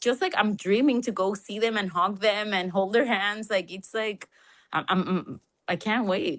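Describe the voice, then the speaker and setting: A woman with a Spanish accent, ordinary pitch variation and a moderate pace, set against a quiet background. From Colombia. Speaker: podcast co-host. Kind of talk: casual chat. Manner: animated.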